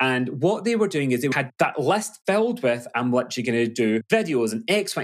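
Using very wide pitch swings, a man talks at a fairly quick pace in a West Coast Scottish accent. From Glasgow, Scotland. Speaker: business coach. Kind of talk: casual interview chat.

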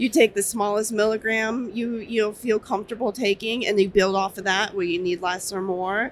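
A woman with an ordinary speaking voice, medium pitch, fairly even intonation, moderate pace, and hardly any pauses. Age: 20s. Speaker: dispensary worker. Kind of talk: interview. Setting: trade show floor.

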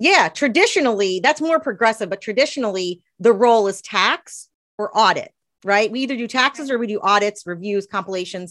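A woman with an American accent has an unremarkable speaking voice, a fairly high pitch, lively intonation, and a fairly quick pace. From US South, East Tennessee. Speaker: accountant and author. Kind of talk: interview.

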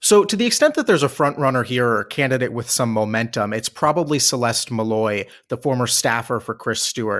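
In a very clean recording with a silent background, a man with an American accent speaks at a fairly quick pace. He has a plain, everyday voice at a medium pitch. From Washington, D.C. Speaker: political analyst. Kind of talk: casual political analysis chat.

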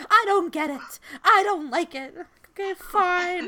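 In a put-on character voice pitched extremely high, a woman speaks at a fairly slow pace with big swings in loudness.

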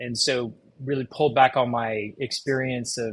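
Speaking with an American accent, a man has a medium pitch and a somewhat breathy voice. His pace is moderate and his intonation fairly even. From Texas. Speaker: cardiologist and telemedicine executive. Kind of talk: interview.

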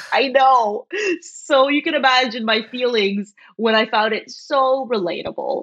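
Pitch varies in an ordinary way while the words come at a fairly slow pace. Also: woman, high pitch for a woman. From Ontario, Canada (small town outside Toronto). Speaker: professor. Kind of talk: casual chat.

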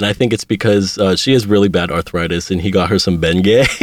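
A Pittsburgh accent with ordinary pitch variation, in a dry, close sound with no echo. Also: man. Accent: American, Pittsburgh area. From Pittsburgh, Pennsylvania, US. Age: 20s. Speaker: aspiring multimedia journalist. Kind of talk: casual interview.

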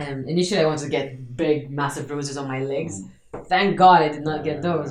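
A woman's very deep, low voice at a fairly quick pace, with audible room echo. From Malta, Marsaxlokk. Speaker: CrossFit athlete and coach. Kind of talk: casual interview.

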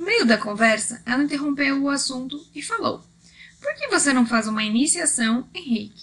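A woman speaks with a Brazilian accent. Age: 30s. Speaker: Reiki master and podcaster. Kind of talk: scripted narration.

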